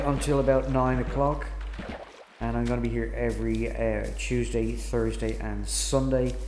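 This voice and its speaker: Amid noticeable background noise and audible room echo, a man with an Irish accent speaks at a moderate pace. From Ireland. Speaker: gaming streamer. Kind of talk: casual live-stream chat. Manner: hesitant, many fillers.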